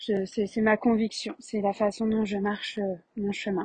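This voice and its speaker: A woman speaks fairly slowly at a fairly high pitch, somewhat breathy. Her intonation is monotone and flat, and the sound is dry and close with no echo. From France, Paris region. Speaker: spiritual healer and podcast host. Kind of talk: personal monologue.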